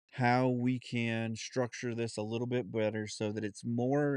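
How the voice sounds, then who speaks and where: Against a quiet background, a man with an American accent speaks at medium pitch with fairly even intonation. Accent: Southern accent when relaxed, put on at times. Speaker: podcast host. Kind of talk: casual monologue. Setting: home studio. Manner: halting, many fillers.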